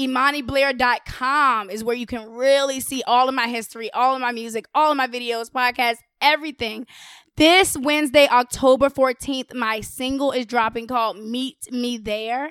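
A woman's high-pitched voice at a moderate pace with fairly even intonation, in a dry, close sound with no echo on a very clean recording with a silent background. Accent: American. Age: 20s. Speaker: rapper and podcaster. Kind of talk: casual chat.

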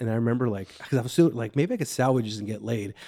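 A man with a Chicago accent talks at a medium pitch with fairly even intonation. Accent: Chicago-area. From Waukegan, Illinois. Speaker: comedian. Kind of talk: casual chat.

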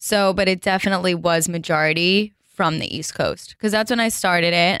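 A woman with a New Jersey accent talks at a fairly quick pace, keeping a fairly low pitch and fairly even intonation. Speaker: fashion blogger and sales account executive. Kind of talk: casual chat. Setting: studio.

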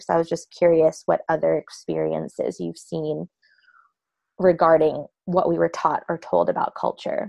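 A woman talks at a fairly slow pace, and the sound is dry and close with no echo. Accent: American. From US East Coast. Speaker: podcast host. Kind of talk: casual chat.

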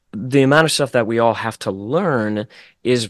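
A man with an American accent and ordinary pitch variation, dry and close with no echo, over a quiet background. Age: 20s. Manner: animated.

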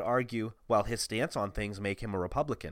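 A man with an American accent speaks at a moderate pace in a very clean recording with a silent background. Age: 20s. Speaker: podcast co-host. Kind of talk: casual chat.

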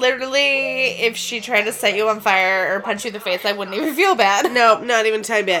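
Against noticeable background noise, a woman with a fairly high pitch speaks very fast with hardly any pauses and ordinary pitch variation. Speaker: podcast co-host. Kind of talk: casual chat. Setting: in a bed, home recording.

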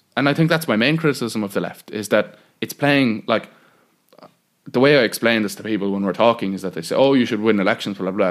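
A man with a Cork accent speaks at a very fast pace in a fairly low pitch. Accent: Cork Irish. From Bandon, County Cork, Ireland. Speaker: political activist. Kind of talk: interview conversation. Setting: squatted old building without electricity.

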